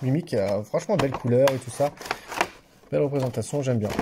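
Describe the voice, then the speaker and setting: Noticeable background noise sits behind a man talking at a fairly quick pace. His pitch is medium with ordinary variation. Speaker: YouTuber opening card packs. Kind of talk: casual unboxing video. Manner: halting, repeats words.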